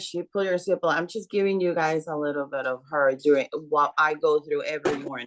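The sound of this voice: A woman's low voice, fairly quick in pace, with fairly even intonation.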